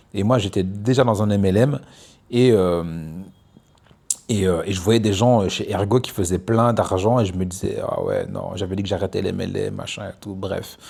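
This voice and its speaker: A man with a fairly low pitch talks at a moderate pace, leaving long, frequent pauses. His intonation stays fairly even, and there is noticeable background noise. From Belgium (Namur, Brussels). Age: 30s. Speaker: entrepreneur vlogger. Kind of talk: casual monologue vlog. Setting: outdoors on a beach. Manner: hesitant, many fillers.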